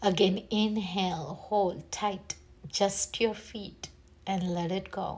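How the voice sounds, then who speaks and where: Speaking very slowly, a woman uses a medium pitch, a warm tone and fairly even intonation. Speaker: meditation guide. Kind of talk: guided meditation. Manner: soft, slow and soothing, gently instructing; warm and encouraging, with pauses between cues.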